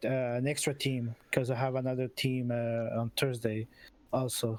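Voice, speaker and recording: A man speaks at a fairly quick pace in a non-native accent. There is noticeable background noise. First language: not English. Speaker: esports team captain. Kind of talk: post-match interview. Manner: halting.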